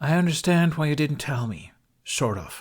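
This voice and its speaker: Putting on a raspy character voice, a man speaks at a moderate pace and fairly high pitch on a very clean recording with a silent background. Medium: read story. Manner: cool, light, controlled.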